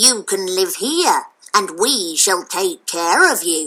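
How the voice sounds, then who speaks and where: A female-sounding voice puts on a growling character voice at a middle pitch. It moves at a very slow pace. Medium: read story.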